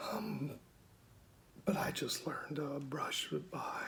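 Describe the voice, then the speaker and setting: A man is heard over noticeable background noise. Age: 40s. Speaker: military veteran with a voice disorder. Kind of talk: personal testimony. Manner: halting, with fillers and restarts.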